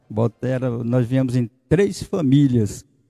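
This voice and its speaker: Speaking at a fairly slow pace, a man with a dark, mellow tone and medium pitch uses ordinary pitch variation, the sound dry and close with no echo. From southern Bahia, Brazil. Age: 60s. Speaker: pastor and former vice mayor. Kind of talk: interview. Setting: studio.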